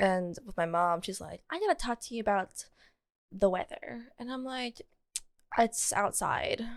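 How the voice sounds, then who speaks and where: A woman's animated tone at a fairly high pitch, at a fairly slow pace. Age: 20s. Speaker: podcast co-host. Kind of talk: casual chat. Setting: co-host's apartment.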